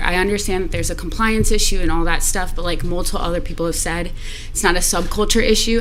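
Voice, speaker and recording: A woman with an American accent speaks at a very fast pace in a shaky, nervous tone. Audible room echo and noticeable background noise come through on the recording. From South Florida (Delray Beach). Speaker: public commenter. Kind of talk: public comment at city meeting. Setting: city commission meeting chamber. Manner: shaky, nervous voice.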